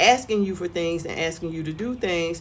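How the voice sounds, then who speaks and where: At a moderate pace and with ordinary pitch variation, a woman talks in a normal speaking voice. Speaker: lifestyle vlogger. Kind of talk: casual monologue vlog. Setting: outdoors on front porch.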